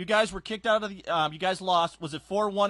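Against a quiet background, a man projects a raised voice at a high pitch and moderate pace, his tone bright and sharp, the sound dry and close with no echo. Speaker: sports interviewer. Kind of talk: interview. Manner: casual.

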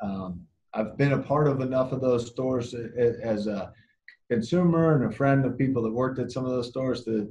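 A man's dark, mellow, somewhat breathy voice at a fairly quick pace, with ordinary pitch variation. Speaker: guest. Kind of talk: interview answer. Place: office. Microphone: video call.

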